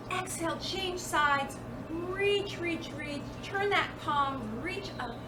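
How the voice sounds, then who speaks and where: A woman with an extremely high pitch and ordinary pitch variation speaks at a very slow pace in a calm tone, with audible room echo and noticeable background noise. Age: 50s. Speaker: yoga instructor. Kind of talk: guided yoga class. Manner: calm, encouraging.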